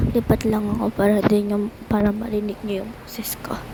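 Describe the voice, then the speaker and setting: The speaker is soft-spoken and talks at a moderate pace. Noticeable background noise is present. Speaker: gaming vlogger. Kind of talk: gameplay commentary. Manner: animated. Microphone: quiet voice, moved to be heard clearer.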